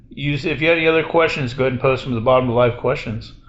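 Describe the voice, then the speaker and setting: Amid noticeable background noise and audible room echo, a man with a fairly high pitch speaks with ordinary pitch variation. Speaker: gaming streamer. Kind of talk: casual chat. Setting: hotel room, live with Discord. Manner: loud.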